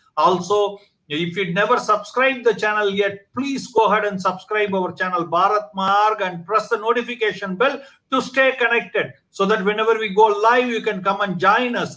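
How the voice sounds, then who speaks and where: A man's high-pitched voice is raised and projected, its tone bright and sharp. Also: ordinary pitch variation, moderate pace. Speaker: online talk show host. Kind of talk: channel promo; interview. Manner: hesitant, many fillers.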